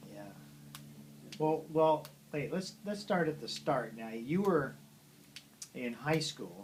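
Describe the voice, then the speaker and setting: Speaking at a very slow pace with long, frequent pauses, a man uses a fairly high pitch, lively intonation, vocal fry and big swings in loudness. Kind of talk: interviewing his father.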